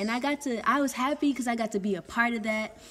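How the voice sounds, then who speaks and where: A woman's high-pitched voice with an American accent and ordinary pitch variation, music in the background. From US South, Texas. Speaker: vlogger. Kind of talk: casual vlog monologue. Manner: hesitant, filler-heavy.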